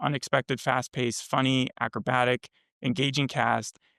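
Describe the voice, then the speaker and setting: Vocal fry marks a man's medium-pitched voice. The recording is very clean and dry, close, with no echo and a silent background. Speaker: podcast co-host reviewing TV. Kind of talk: casual chat. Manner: fast.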